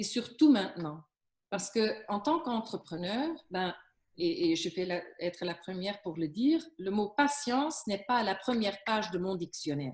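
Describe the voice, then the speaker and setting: A woman's somewhat breathy, medium-pitched voice with very wide pitch swings, at a moderate pace. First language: Flemish (speaking French). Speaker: business coach on workplace stress. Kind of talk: interview giving advice. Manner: hesitant, many fillers and restarts.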